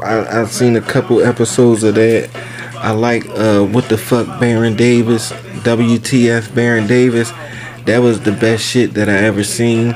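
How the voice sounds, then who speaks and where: Against music in the background, the voice moves at a fairly slow pace with monotone, flat intonation and very even loudness. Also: man, medium pitch for a man. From US North. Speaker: podcast host. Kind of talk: casual chat.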